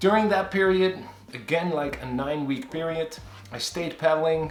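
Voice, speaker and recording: In a Dutch accent, a man with a fairly high pitch talks at a moderate pace with ordinary pitch variation, amid audible room echo and noticeable background noise. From Netherlands. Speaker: kayaking vlogger. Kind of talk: casual vlog update. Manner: conversational with hesitations.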